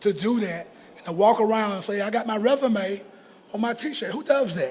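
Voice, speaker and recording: Over noticeable background noise, a man speaks with a high pitch. His pace is moderate and his pitch variation is ordinary. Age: 60s. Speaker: mayoral candidate. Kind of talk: interview. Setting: bar with audience.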